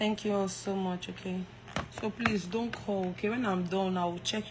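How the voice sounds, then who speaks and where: The speech moves at a fairly slow pace with fairly even intonation. Noticeable background noise is present. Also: woman. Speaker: live streamer. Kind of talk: casual chat. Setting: live stream.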